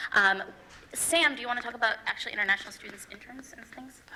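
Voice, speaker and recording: Very fast speech over noticeable background noise. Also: woman. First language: not English. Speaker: student election candidate. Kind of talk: debate. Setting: stage with audience.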